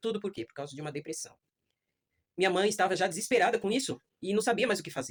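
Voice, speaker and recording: At a very fast pace, a woman speaks at medium pitch with lively intonation. Her loudness swings widely, broken by long, frequent pauses. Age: 60s. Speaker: adult education student. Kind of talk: class speech, personal testimony.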